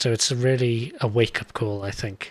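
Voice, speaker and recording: At a moderate pace, a man with a British accent talks in a medium pitch. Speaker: tech show host. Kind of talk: interview.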